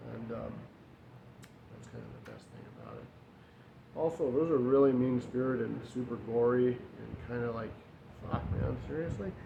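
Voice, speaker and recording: The speech runs at a moderate pace with ordinary pitch variation, big swings in loudness and long, frequent pauses. Audible room echo and noticeable background noise are present. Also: man, medium pitch for a man. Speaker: YouTuber, collector. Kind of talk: casual show-and-tell vlog. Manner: halting, stammering.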